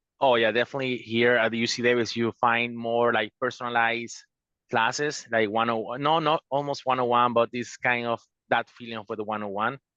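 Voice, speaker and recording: Speaking in a Spanish accent at a medium pitch, a man has a bright, sharp tone and monotone, flat intonation, recorded with a dry, close sound with no echo against a quiet background. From Venezuela. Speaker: law student, attorney. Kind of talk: panel discussion. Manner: halting.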